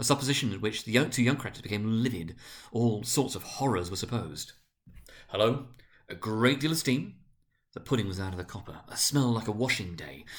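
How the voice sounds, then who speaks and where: This man has a plain, everyday voice at a medium pitch, talking at a fairly quick pace. His intonation is lively and his loudness swings widely. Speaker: senior school director reading aloud. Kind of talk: dramatic reading of a classic novel. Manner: narrating, measured storyteller delivery.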